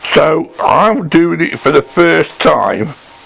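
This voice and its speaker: Noticeable background noise sits behind a man whose delivery is very slow. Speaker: woodworking channel host. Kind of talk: workshop tutorial. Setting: workshop. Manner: casual, hesitant; quiet. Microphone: poor sound, mic badly set up.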